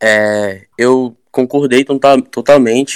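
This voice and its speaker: In a dry, close recording with no echo, a man with a medium-pitched voice talks with fairly even intonation in an ordinary speaking voice. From Brazil, Arraias, Tocantins. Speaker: singer-songwriter. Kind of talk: casual chat.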